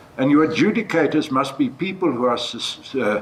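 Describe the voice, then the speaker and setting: A man speaks at a moderate pace with very wide pitch swings. Noticeable background noise runs behind him. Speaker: judge. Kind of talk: panel discussion. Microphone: speaking without a microphone.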